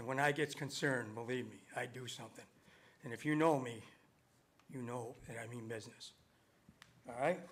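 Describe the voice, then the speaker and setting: A man with a western New York accent talks at a fairly quick pace with long, frequent pauses, big swings in loudness, a medium pitch and ordinary pitch variation. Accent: western New York American. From Webster, New York, US. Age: 70s. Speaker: resident speaking at public hearing. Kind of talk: public comment at town meeting. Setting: town board meeting room. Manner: confrontational, insistent.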